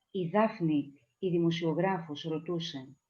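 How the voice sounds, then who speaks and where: This woman speaks with a Greek accent. Her pitch is fairly low and her tone dark and mellow. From Greece. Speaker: poet. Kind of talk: poetry reading. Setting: video call.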